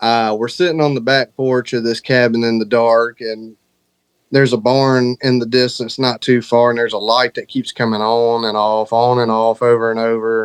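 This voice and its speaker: A man with a Southern US accent, medium pitch and monotone, flat intonation at a moderate pace, dry and close with no echo. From Alabama, US South. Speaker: horror author. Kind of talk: interview.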